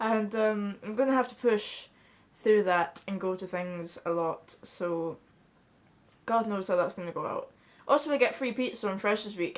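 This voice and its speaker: A woman with a Scottish accent speaks at a medium pitch and a moderate pace with ordinary pitch variation. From Scotland. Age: young. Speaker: vlogger. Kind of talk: casual chat. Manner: halting.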